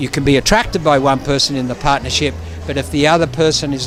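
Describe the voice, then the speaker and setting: A man's fairly high voice with an Australian accent, a fairly quick pace and ordinary pitch variation, music in the background. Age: 70s. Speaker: ballroom dance judge and teacher. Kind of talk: casual interview. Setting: event venue. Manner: halting, repetitive.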